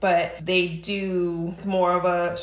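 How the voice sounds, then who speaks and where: A woman's fairly low voice carries audible room echo. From New Mexico. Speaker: doula. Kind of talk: interview.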